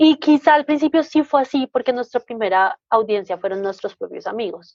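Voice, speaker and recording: A woman with a Bogotá accent speaks at a moderate pace in a high pitch with very wide pitch swings, the sound dry and close with no echo. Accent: Bogotá Colombian. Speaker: podcaster. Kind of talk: interview.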